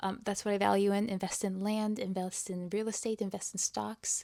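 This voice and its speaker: A woman with a medium pitch and a dark, mellow tone speaks with monotone, flat intonation. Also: very clean recording, silent background. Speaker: lifestyle vlogger. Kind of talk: casual talking-head vlog. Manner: halting, many fillers.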